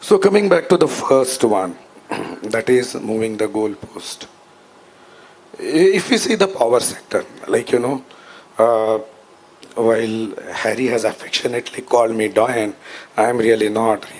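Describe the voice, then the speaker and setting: There is noticeable background noise as a man speaks at a fairly slow pace. His intonation is lively, broken by long, frequent pauses. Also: medium pitch for a man. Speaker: power sector expert, panelist. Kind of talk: panel talk. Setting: conference stage with audience.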